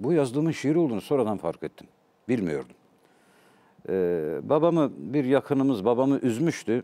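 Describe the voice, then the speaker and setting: Dark and mellow in tone, a man's voice moves at a moderate pace through very wide pitch swings. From Turkey, Elazığ (eastern Anatolia); Turkey. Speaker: poet and literature professor; talk show guest. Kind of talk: interview, personal storytelling. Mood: reflective, emotional storytelling. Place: studio. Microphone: lapel.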